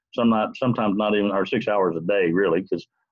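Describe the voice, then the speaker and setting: This man's voice sits at a fairly low pitch, and his intonation stays fairly even. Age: 60s. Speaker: student. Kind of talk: class assignment presentation. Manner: halting.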